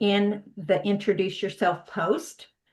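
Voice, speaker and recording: In an American accent, a woman speaks at a medium pitch and a very slow pace. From US, San Diego, California. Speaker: knitting workshop teacher. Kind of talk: online workshop presentation. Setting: video call. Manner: hesitant, many fillers.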